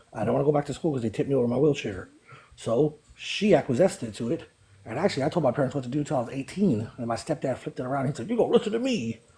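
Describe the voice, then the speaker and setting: A man with an American accent speaks at a very fast pace, fairly high in pitch and somewhat breathy. His tone is dark and mellow, and his intonation is lively. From East Oakland, California. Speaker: live stream participant. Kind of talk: casual chat.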